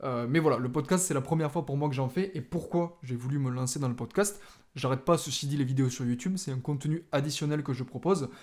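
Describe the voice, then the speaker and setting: A man's fairly high voice at a fairly quick pace, hardly any pauses, in a very clean recording with a silent background. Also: ordinary pitch variation. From southern France, Toulouse area. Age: 20s. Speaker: podcast host, videographer and photographer. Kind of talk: podcast introduction monologue. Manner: casual with frequent filler hesitations.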